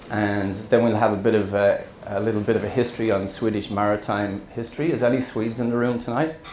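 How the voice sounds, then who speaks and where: A man's fairly low voice with ordinary pitch variation at a fairly quick pace, with noticeable background noise and audible room echo. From central Ireland, small town. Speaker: scuba diver and wreck explorer, presenter. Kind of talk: presentation to an audience. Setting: stage with audience. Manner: hesitant, many fillers.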